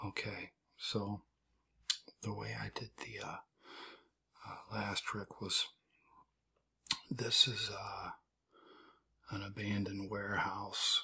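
Soft-spoken and relaxed in tone, this voice moves at a very slow pace with long, frequent pauses. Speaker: amateur magician. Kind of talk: soft-spoken ASMR card trick demonstration, casual talk to camera. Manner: soft-spoken, relaxed.

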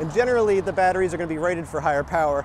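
A man with ordinary pitch variation, dry sound with no echo, and noticeable background noise. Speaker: e-bike reviewer. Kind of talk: casual vlog chat. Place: bicycle. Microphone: phone near.

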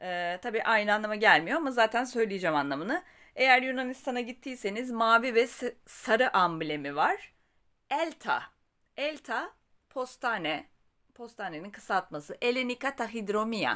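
A woman speaks at a fairly slow pace, her fairly high pitch swinging very widely with vocal fry. Her tone is bright and sharp, on a very clean recording with a silent background. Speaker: Greek language teacher. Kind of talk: language tutorial.

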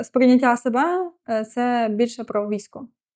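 A woman with a high pitch talks at a moderate pace with fairly even intonation against a quiet background. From western Ukraine, Ivano-Frankivsk. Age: 20s. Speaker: military officer. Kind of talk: interview.

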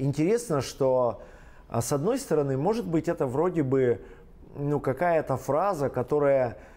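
In a dark, mellow tone, a man speaks at a fairly slow pace with ordinary pitch variation. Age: 40s. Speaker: pastor; pastor, interview guest. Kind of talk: interview testimony. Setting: studio. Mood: calm, reflective. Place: studio.

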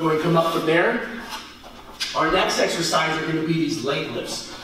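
Strong room echo carries a man's fairly bright voice as he speaks at a moderate pace.

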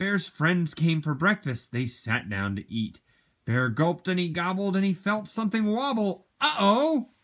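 A natural voice reading aloud against quiet surroundings.

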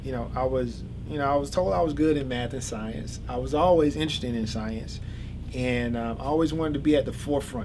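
A man speaks very fast with an American accent, noticeable background noise behind him. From US South, Georgia. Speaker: electrical engineer, PhD student. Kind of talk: interview. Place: office. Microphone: camera far.

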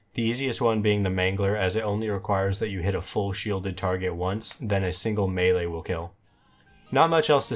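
Music plays in the background. A man with a fairly low pitch talks at a very fast pace. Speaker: gaming achievement guide creator. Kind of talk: game tutorial narration. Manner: monotone.

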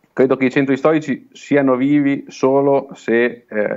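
Against a quiet background, the talking proceeds fairly slowly. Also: man. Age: 30s. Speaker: small-town mayor. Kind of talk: remote interview. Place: office. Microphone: earbuds.

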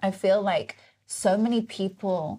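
A woman speaks in a southern English accent. Her tone is dark and mellow. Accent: southern English British. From England. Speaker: podcast host and motivational speaker. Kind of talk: casual interview. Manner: animated. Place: studio.

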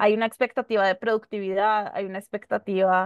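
Recorded dry with no echo against a quiet background, a woman speaks with a fairly high pitch. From Colombia, Bogotá. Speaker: human rights lawyer; panelist. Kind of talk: panel discussion. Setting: video call. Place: home room. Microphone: video call.

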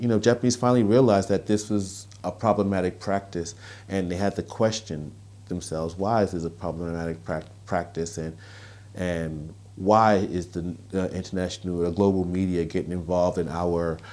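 A man speaks with a New York accent in a very deep, low voice. His tone is dark and mellow, and his intonation is fairly even. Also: moderate pace. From Brooklyn, New York. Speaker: author, columnist and activist. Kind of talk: interview answer. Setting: outdoors. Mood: earnest, reflective. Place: home room. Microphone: lapel.

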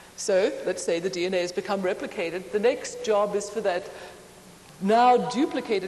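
Light background noise sits under a woman talking at a moderate pace. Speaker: conference lecturer. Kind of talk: lecture. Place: hall. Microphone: lapel.

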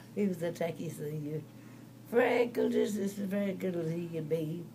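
A woman speaks at a fairly slow pace in a very deep, low voice with ordinary pitch variation, over light background noise. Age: 80s+. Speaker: great-great grandmother. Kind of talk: conversational storytelling. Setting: hospital room. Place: home room. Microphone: phone near.

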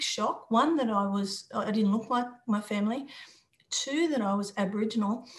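Somewhat breathy, a woman with a fairly high pitch talks at a moderate pace with fairly even intonation. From Australia, Sydney and Newcastle; Australia. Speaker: former international footballer; interviewee. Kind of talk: interview. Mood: reflective, earnest. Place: home room. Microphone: video call.

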